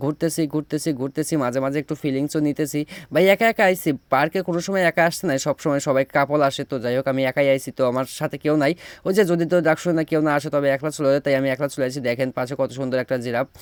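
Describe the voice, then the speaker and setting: In a very clean recording with a silent background, a man with a Pabna accent speaks at a fairly high pitch, the sound dry and close with no echo. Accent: Pabna regional dialect. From Bangladesh, Pabna. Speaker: travel vlogger. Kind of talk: vlog narration. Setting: outdoors. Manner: animated.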